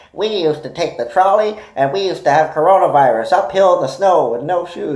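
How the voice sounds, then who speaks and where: In a put-on character voice with a middle pitch, the speaker sounds grumpy and talks at a fairly quick pace. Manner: grumpy, complaining.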